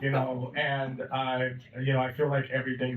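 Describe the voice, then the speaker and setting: A man talks at a medium pitch. There is noticeable background noise. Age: 30s. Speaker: film director. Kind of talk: festival Q&A.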